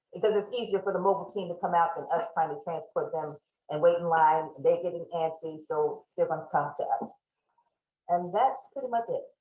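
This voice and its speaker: A woman speaks at a fairly quick pace with a fairly low pitch. Her pitch variation is ordinary. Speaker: shelter manager presenting. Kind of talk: presentation at online town hall. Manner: fast.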